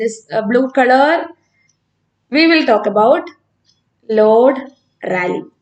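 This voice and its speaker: A woman speaks at a high pitch and a fairly slow pace, with ordinary pitch variation and long, frequent pauses. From Kerala, India (north Kerala village). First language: Malayalam. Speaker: physics teacher. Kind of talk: live online class with student Q&A. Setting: live stream. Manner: hesitant, many fillers.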